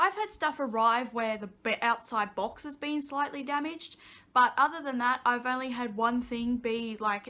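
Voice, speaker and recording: A woman with an Australian accent, high pitch, ordinary pitch variation, a bright, sharp tone and a moderate pace. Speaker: vlogger. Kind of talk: casual chat. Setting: sitting on couch at home.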